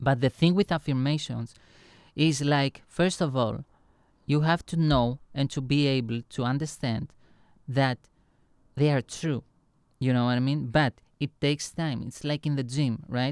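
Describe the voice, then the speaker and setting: In a non-native accent, the speaker goes at a fairly slow pace with long, frequent pauses and fairly even intonation, the sound dry and close with no echo. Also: man, fairly high pitch for a man. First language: not English. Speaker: online lecturer and music producer. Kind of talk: motivational lecture. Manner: halting, many fillers and restarts.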